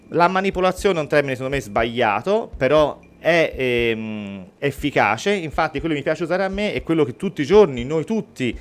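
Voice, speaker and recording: The speaker moves at a moderate speed. Very wide swings mark the pitch. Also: man. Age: 40s. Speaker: mentalist and real estate agent; guest. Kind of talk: radio interview and mentalism demonstration. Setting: radio studio. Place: studio. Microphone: studio mic.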